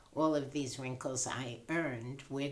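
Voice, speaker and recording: A woman with a very deep, low pitch speaks fairly slowly, with audible room echo. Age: 80s+. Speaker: patient. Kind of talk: casual chat.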